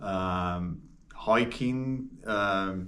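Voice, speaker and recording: A man with an English accent, fairly low in pitch, with ordinary pitch variation. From Birmingham, England. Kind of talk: interview answer.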